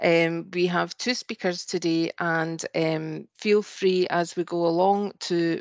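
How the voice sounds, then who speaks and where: Monotone, flat speech in a Scottish accent at a very slow pace, dry with no echo, over a quiet background. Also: woman. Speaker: webinar host. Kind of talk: webinar introduction and housekeeping. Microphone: video call.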